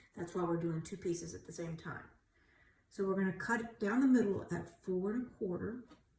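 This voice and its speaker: A woman speaks at a fairly quick pace with a medium pitch and ordinary pitch variation, her voice carrying audible room echo over noticeable background noise. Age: 60s. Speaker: craft tutorial youtuber. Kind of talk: tutorial. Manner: casual, chatty.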